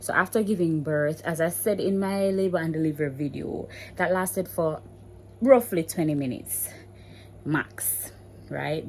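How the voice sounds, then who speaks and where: In a Jamaican accent, a woman speaks with a very deep, low pitch. Her pace is moderate and her pitch varies in an ordinary way. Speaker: mommy vlogger. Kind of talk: casual vlog talk. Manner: code-switching between standard English and patois.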